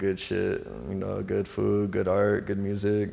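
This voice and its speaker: In a relaxed tone with an American accent, a man talks at a fairly slow pace amid audible room echo. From US Pacific Northwest, Seattle. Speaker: visual artist and designer. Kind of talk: casual interview chat. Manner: relaxed, slangy.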